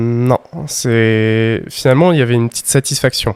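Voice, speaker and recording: A man speaks at medium pitch with ordinary pitch variation. The sound is dry and close with no echo, in a very clean recording with a silent background. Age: 20s. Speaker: university student and private tutor. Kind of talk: promotional recommendation; interview testimony. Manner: hesitant, many filler sounds.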